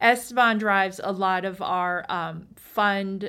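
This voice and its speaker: A woman's medium-pitched voice with an American accent and flat, monotone intonation, in a very clean recording with a silent background. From US East Coast. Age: 40s. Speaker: venture capitalist. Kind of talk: interview.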